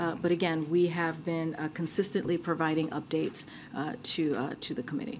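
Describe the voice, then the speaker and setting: A woman talks at a fairly quick pace in a fairly low pitch with ordinary pitch variation. It is a plain, everyday voice. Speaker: press secretary. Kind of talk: press briefing.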